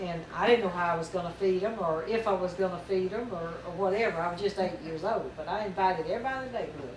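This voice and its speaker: Very fast speech from a woman at medium pitch, with noticeable background noise and audible room echo. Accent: Southern US. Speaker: mother telling family memories. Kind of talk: reminiscing storytelling. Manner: folksy, halting with fillers.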